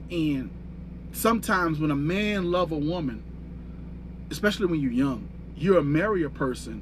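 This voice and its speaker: A man at a moderate pace, with audible room echo. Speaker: fitness and life coach. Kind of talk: livestream monologue. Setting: livestream. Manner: stuttering.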